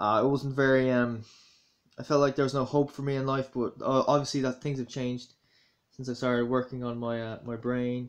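A man speaks with a Dublin accent at a fairly quick pace. His intonation is monotone and flat, over a quiet background. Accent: Dublin Irish. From Ireland, Dublin. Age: 20s. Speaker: YouTuber. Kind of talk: casual vlog commentary. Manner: hesitant, many fillers. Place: home room. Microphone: phone near.

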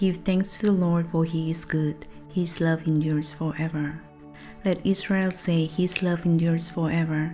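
A woman speaks in a calm tone with a fairly low pitch, monotone, flat intonation and very even loudness. Faint music plays in the background. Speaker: songwriter. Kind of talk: soft-spoken ASMR Bible reading. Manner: soft-spoken, calm, slow. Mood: earnest, devotional. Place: home room. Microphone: studio mic.

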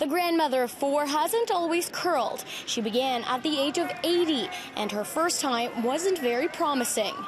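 Noticeable background noise sits behind a woman speaking at a moderate pace and a high pitch. Her intonation is lively while her loudness stays very even. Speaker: news reporter. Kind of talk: TV news report.

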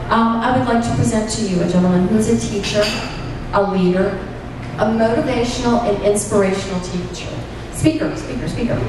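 A woman speaks at a fairly quick pace. Strong room echo and noticeable background noise surround her voice. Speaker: meeting host. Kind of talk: speaker introduction. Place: hall.

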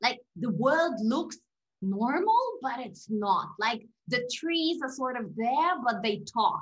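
Lively in intonation, a woman with a high voice talks at a very slow pace. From Russia. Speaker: podcast guest. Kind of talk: interview. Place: home room. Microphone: video call.

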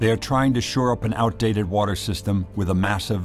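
Against music in the background, a man talks at a fairly quick pace in a fairly low pitch with ordinary pitch variation. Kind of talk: documentary narration.

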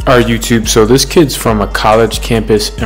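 Faint music plays behind a man as he speaks. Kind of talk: tutorial. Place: shop.

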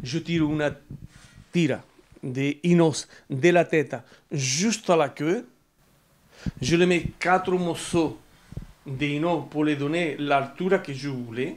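Very slowly and with long, frequent pauses, a man speaks at a fairly high pitch with ordinary pitch variation over light background noise. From Andalusia, Spain. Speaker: sculptor. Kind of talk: interview; interview answer. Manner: halting. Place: home room. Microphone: lapel.

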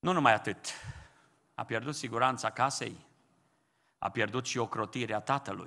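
Against a quiet background, a man with a medium pitch and a bright, sharp tone speaks with long, frequent pauses. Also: ordinary pitch variation, moderate pace. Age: old. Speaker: pastor. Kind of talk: sermon. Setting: church. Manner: impassioned. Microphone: podium.

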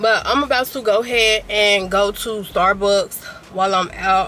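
Over noticeable background noise, a woman speaks at a very slow pace in a dry sound with no echo. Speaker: vlogger. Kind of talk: casual vlog chat. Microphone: phone near.

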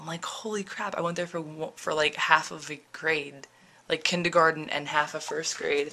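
Speaking at a moderate pace, a woman with a fairly low pitch shows big swings in loudness. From New Jersey. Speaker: vlogger. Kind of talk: casual vlog. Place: home room. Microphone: phone near.

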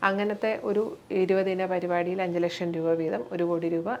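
A woman speaks with fairly low pitch and fairly even intonation. It is an ordinary speaking voice. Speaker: cardiologist and community organisation president. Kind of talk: interview.

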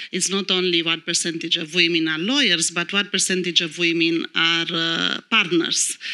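Against a quiet background, the speaker keeps a moderate pace. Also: woman. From Romania. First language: Romanian. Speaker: lawyer. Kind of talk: panel discussion. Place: stage. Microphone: handheld.

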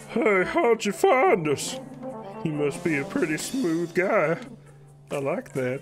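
Clear music plays in the background. A man uses a high-pitched put-on character voice at a fairly slow pace. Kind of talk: comic dub of game text. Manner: tough-talking, then nervous.

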